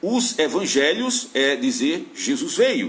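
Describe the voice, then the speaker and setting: Over noticeable background noise and audible room echo, a man talks at an extremely high pitch with lively intonation. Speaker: Bible teacher. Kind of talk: lecture.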